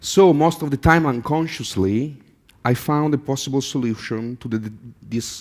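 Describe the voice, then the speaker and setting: In a very clean recording with a silent background, a man speaks with an Italian accent. His pace is moderate and his pitch variation ordinary. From Italy. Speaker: artist. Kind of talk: conference talk. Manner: halting, with fillers.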